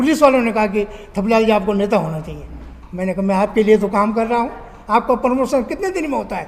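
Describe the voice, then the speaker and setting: Over noticeable background noise, a man talks at a high pitch with ordinary pitch variation. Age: 70s. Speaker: candidate and social activist. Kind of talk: interview. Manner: animated.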